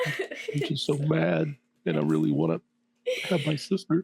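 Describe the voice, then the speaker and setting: A guttural, put-on character voice at a moderate pace. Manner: upset, on the verge of tears.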